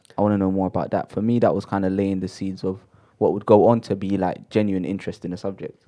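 Speech at a very fast pace in a London accent. The tone is dark and mellow. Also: man. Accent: London multicultural English. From London, Shepherd's Bush. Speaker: podcast co-host. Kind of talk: casual chat. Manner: animated, high energy.

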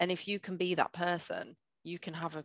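Speaking with a northern English accent is a woman. The recording is very clean, with a silent background. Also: dry, close sound with no echo. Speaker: change manager / project manager. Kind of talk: casual interview.

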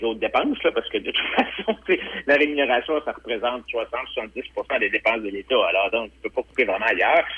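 With a Quebec accent, a man talks at a moderate pace. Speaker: political commentator. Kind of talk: phone-in political commentary.

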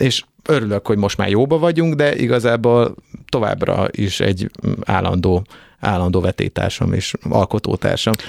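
Delivered at a moderate pace with lively intonation, the voice keeps a very even loudness, and the sound is dry and close with no echo. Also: man, fairly low pitch for a man. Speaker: singer and band frontman. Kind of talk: casual chat. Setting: studio.

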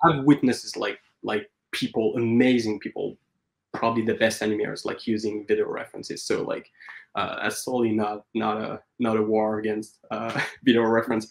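A man talks at a fairly quick pace. He speaks with a French accent. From France, Paris. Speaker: animator. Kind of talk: interview. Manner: halting.

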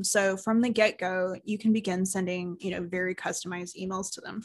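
This woman has a normal speaking voice, a medium pitch and ordinary pitch variation, and she talks at a fairly quick pace. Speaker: marketing agency owner and podcast co-host. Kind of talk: casual business chat. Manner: conversational, laughs often.

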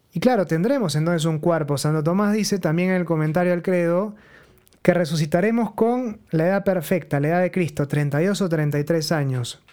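Using ordinary pitch variation, a man with a high voice speaks at a moderate pace. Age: 30s. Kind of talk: religious teaching talk. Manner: conversational.

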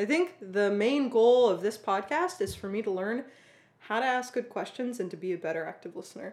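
Speaking at a fairly quick pace, a woman has a fairly high pitch and an ordinary speaking voice. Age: 20s. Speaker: podcast co-host, software engineer. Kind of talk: casual chat.

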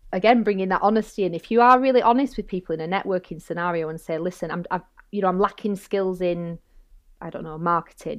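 A woman speaks with a Lancashire accent at a medium pitch. She talks at a fairly quick pace with ordinary pitch variation. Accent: northern English (Bolton). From northern England. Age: 40s. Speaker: barrister and safeguarding consultant. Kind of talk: casual interview chat.

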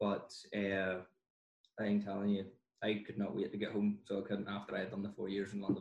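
Fairly low male voice with a Northern Irish accent, fairly quick between long, frequent pauses, with monotone, flat intonation. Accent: Northern Irish (County Down). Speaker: dentist. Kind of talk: casual chat.

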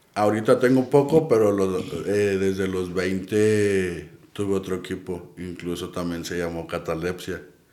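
In a Mexican accent, a man with a very deep, low pitch and ordinary pitch variation speaks at a fairly slow pace amid audible room echo. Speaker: paranormal investigator. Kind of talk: casual chat.

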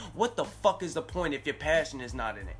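A man speaks at a very fast pace in a New York accent. Noticeable background noise runs beneath him. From New York, Staten Island. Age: 20s. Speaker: rapper and music consultant co-host. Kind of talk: casual chat.

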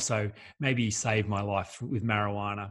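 Over a silent background on a very clean recording, a man speaks with an Australian accent. His pitch is fairly low and his intonation flat and monotone. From Australia, rural New South Wales. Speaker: life coach. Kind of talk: interview.

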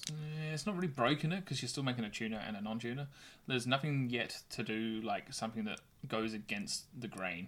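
An unremarkable speaking voice comes through on a very clean recording with a silent background. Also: man, medium pitch for a man, lively intonation, fairly quick pace. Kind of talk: casual chat. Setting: in person, studio.

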